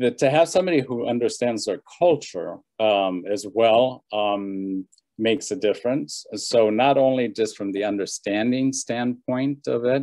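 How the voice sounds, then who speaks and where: With a Spanish accent, a man speaks at a very slow pace with ordinary pitch variation, the sound dry and close with no echo and the background quiet. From Bolivia. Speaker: social services worker for seniors. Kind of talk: panel discussion.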